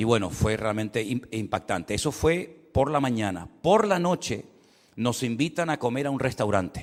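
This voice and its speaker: A man with a Canary Islands accent, at a moderate pace. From Canary Islands, Spain. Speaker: pastor. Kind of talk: sermon. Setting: church service.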